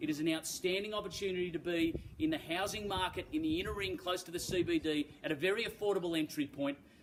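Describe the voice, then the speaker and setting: A man with an Australian accent talks at a very fast pace in a high pitch, with hardly any pauses and ordinary pitch variation. Noticeable background noise sits behind him. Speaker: real estate auctioneer. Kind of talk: auction introduction and property pitch, polished and formal. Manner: articulate, confident, measured.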